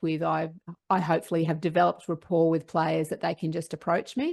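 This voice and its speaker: An Australian accent over a quiet background. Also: woman. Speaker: sports psychologist. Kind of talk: interview.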